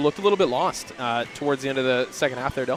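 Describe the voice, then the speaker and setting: A man's fairly high voice is heard against noticeable background noise. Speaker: basketball play-by-play commentator. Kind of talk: live sports commentary. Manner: loud.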